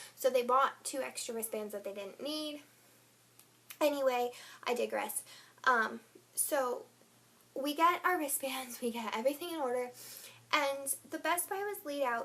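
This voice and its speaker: Speaking at a moderate pace with long, frequent pauses, a woman has a high pitch and lively intonation. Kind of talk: casual talk to camera. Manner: rambling.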